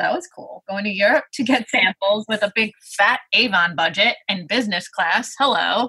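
Speaking with a Brooklyn accent, a woman uses lively intonation at a moderate pace and a medium pitch. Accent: New York (Brooklyn). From Brooklyn, New York. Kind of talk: casual interview chat.

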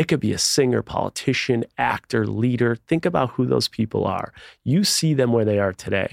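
A man with an American accent uses an ordinary speaking voice at medium pitch and moderate pace, with ordinary pitch variation and very even loudness, in a dry, close sound with no echo on a very clean recording with a silent background. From Buffalo, New York. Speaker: author. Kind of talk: interview.

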